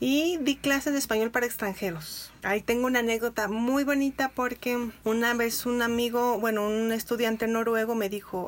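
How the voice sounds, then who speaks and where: It is a plain, everyday voice at a fairly quick pace with ordinary pitch variation. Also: woman. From Mexico, Irapuato, Guanajuato. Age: 40s. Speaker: editor and literature teacher. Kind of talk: interview conversation.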